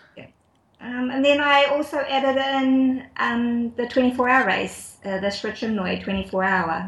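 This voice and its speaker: In a New Zealand accent, a woman speaks at a high pitch. Her pace is fairly slow, and her pitch varies in an ordinary way. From New Zealand, Auckland and Wellington. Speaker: ultra runner. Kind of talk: casual interview. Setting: Skype call.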